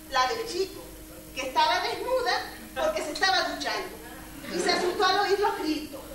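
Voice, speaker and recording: With noticeable background noise and audible room echo, a woman speaks at a moderate pace in an extremely high pitch. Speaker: stage actor. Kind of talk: theatrical monologue. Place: stage. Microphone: camera far.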